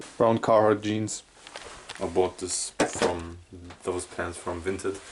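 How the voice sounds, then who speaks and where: A man's fairly low, somewhat breathy voice with a German accent. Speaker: YouTuber. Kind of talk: casual vlog monologue. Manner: halting.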